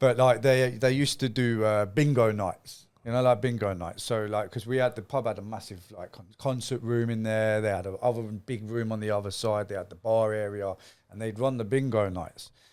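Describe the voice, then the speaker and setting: A man with an East Midlands accent speaks at a moderate pace and medium pitch, with fairly even intonation. His loudness swings widely on a very clean recording with a silent background. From Nottingham, England. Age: 40s. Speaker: former gang member. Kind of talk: interview storytelling. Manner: casual.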